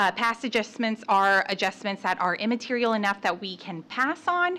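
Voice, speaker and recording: On a very clean recording with a silent background, a woman with a bright, sharp tone speaks at a fairly high pitch with lively intonation. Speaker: external auditor presenting audit results. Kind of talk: formal presentation to city council. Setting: city council meeting. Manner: fast; hesitant, many fillers.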